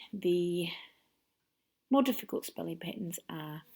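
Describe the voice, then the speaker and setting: Speaking at a moderate pace, a woman with a New Zealand accent shows ordinary pitch variation. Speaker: primary school teacher. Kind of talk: phonics lesson for children. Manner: clear, instructional.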